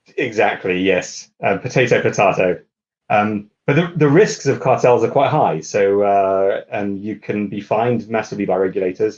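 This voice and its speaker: A man speaks in a British accent at a moderate pace. His pitch is fairly low. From UK. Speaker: lawyer. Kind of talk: interview. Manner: halting, many fillers.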